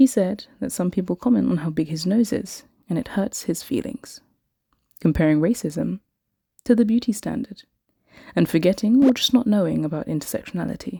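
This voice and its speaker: The voice has a British accent, a dark, mellow tone and vocal fry, with lively intonation. It moves at a fairly quick pace yet leaves long, frequent pauses. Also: woman, medium pitch for a woman. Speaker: English teacher. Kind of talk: podcast-style story time.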